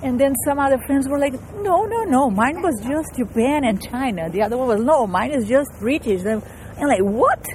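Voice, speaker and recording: Speaking with a Portuguese accent at a moderate pace, a woman uses a high pitch with very wide swings, over noticeable background noise. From Brazil. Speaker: composer and transmedia artist. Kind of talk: interview. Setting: outdoors, walking through a park.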